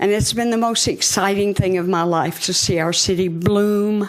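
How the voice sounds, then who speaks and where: At a moderate pace and medium pitch, a woman with a Southern US accent speaks with ordinary pitch variation over noticeable background noise. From Hot Springs, Arkansas. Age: 80s+. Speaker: founder of a women's prayer group. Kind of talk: public address to city board. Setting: city board meeting chamber.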